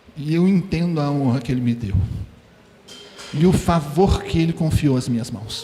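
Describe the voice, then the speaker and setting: Over background music and audible room echo, a man with a fairly high voice talks at a moderate pace with lively intonation and long, frequent pauses. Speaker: preacher. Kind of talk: sermon.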